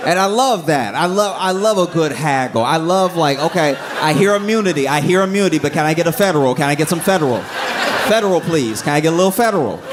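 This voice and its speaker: Talking at a very fast pace with hardly any pauses, a man keeps his loudness very even. His voice is high-pitched with lively intonation, and there is noticeable background noise. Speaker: comedian. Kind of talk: stand-up comedy set. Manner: calm.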